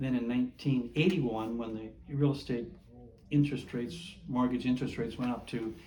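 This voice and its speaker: A man with an American accent at a medium pitch and fairly quick pace, with audible room echo. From Minnesota. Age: 80s+. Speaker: Navy veteran. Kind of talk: oral history interview. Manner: halting.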